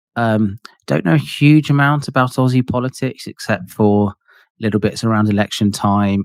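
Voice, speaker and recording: The speaker has a British accent, a moderate pace, ordinary pitch variation and very even loudness. The sound is dry and close with no echo, in a very clean recording with a silent background. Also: man, medium pitch for a man. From UK. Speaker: podcast host. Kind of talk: podcast interview.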